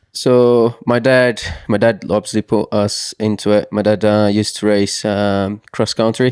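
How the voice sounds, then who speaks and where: In a Portuguese accent, a man speaks fairly slowly at a fairly low pitch, his intonation flat and monotone and his loudness very even, recorded dry and close with no echo. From southern Brazil, Santa Catarina. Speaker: mountain bike racer. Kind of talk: casual interview chat. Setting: small studio at race venue. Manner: halting, many fillers and restarts.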